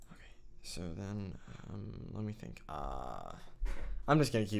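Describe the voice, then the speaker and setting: A man with lively intonation at a fairly slow pace, with audible room echo. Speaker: video editing tutorial creator. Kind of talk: tutorial. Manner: halting, filler-heavy; casual, thinking aloud.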